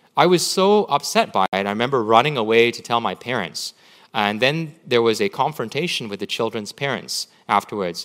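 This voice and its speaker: A man with a Canadian accent, medium pitch, and an ordinary speaking voice talks at a fairly quick pace with lively intonation on a very clean recording with a silent background. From Canada, Vancouver. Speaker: pastor. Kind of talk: sermon. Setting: church.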